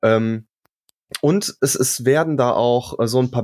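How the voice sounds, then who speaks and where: In an ordinary speaking voice, a man talks with ordinary pitch variation. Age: 30s. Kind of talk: casual chat.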